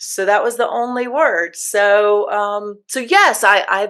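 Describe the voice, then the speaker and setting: At a fairly slow pace, an unremarkable speaking voice comes through with an American accent. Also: woman. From United States. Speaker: podcast host. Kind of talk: podcast interview.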